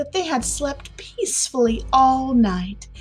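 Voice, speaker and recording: Over music in the background, a woman with an American accent talks at a fairly slow pace, her pitch swinging very widely. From Southern United States. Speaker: podcast host. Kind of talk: classic short story reading.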